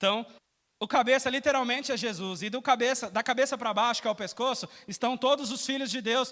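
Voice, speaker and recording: A man's raised, projected voice with a bright, sharp tone, an extremely high pitch, ordinary pitch variation and a fairly quick pace. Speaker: preacher. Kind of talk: sermon. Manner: fast.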